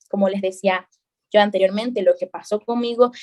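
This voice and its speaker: At a very fast pace, a woman talks with a fairly high pitch and a dark, mellow tone. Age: young. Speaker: preacher. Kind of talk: sermon. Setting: video call.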